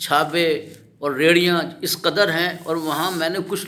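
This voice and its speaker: A man talks in a high pitch. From Pakistan, Lahore. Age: 70s. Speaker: local citizen interviewee. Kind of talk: street interview complaint. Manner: impassioned.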